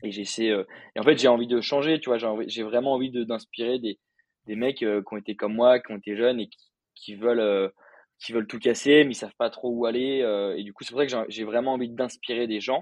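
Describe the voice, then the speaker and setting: Talking at a fairly quick pace, a man with a medium-pitched voice keeps his intonation fairly even while his loudness swings widely. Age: 20s. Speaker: content creator and freelancer. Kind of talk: casual interview. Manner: hesitant, many fillers.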